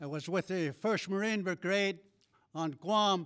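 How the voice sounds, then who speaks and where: Over a silent background in a very clean recording, the words come at a very slow pace. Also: man. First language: Navajo. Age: 80s+. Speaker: war veteran. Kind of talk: ceremonial speech.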